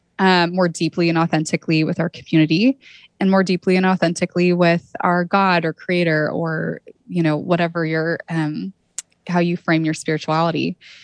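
The delivery is monotone, with flat intonation and a West Coast accent. The sound is dry and close, with no echo. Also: woman, fairly low pitch for a woman, moderate pace. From California, Santa Cruz. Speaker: arts-in-healthcare nonprofit founder. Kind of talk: interview.

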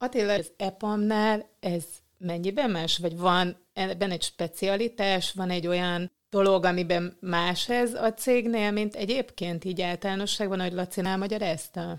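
A woman with an ordinary speaking voice talks at a medium pitch with fairly even intonation and hardly any pauses. The recording is very clean, with a silent background. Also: moderate pace. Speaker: podcast host. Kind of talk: interview. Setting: office.

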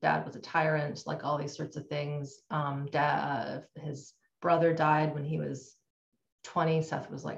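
Vocal fry marks this very slow, monotone, flat delivery in a Canadian accent. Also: woman. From Canada. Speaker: trauma and nervous system educator. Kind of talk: interview.

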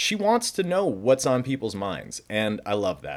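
On a very clean recording with a silent background, a man with an ordinary speaking voice talks with lively intonation. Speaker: podcast host. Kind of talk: interview.

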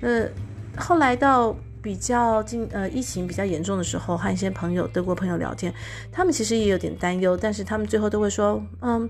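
With audible room echo, a woman speaks at a fairly quick pace. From Taiwan. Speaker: podcast host. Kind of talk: solo podcast monologue. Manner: frequent fillers and hesitations.

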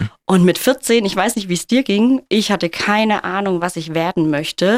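In an ordinary speaking voice, a woman talks at medium pitch and a moderate pace with ordinary pitch variation, recorded very cleanly against a silent background with a dry, close sound and no echo. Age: 30s. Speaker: kindergarten teacher. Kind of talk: interview.

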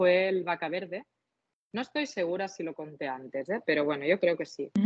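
The speaker is a woman. She talks with a Catalan accent. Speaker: cocktail content creator. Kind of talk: casual interview.

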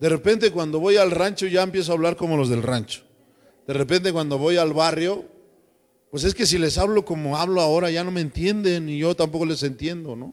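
Pitched high, a man talks at a fairly quick pace. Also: ordinary pitch variation. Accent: Mexican. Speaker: pastor. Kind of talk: sermon.

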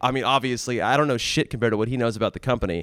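A man with medium pitch talks at a very fast pace, with vocal fry. The recording is very clean, with a silent background. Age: 30s. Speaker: former tech company studio lead. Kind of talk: casual chat.

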